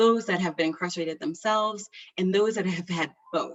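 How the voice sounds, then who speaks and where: Using a normal speaking voice, a woman talks at a moderate pace and a medium pitch. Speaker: physician researcher. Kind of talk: webinar presentation.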